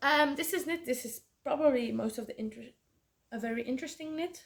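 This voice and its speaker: Lively intonation with a Flemish accent. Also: woman. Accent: Belgian Dutch (Flemish) accent in English. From Belgium. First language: Dutch. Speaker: podcast host, knitter. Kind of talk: casual chat. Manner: halting, many fillers.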